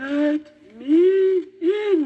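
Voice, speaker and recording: This is a put-on character voice, squeaky and growling. The pitch is extremely high. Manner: growling, menacing.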